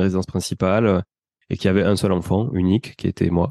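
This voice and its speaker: A man's fairly low voice, dark and mellow in tone with fairly even intonation, at a fairly quick pace, dry and close with no echo, over a quiet background. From southern France, Toulouse. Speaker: real estate investor and podcaster. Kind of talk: interview. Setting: podcast. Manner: fast.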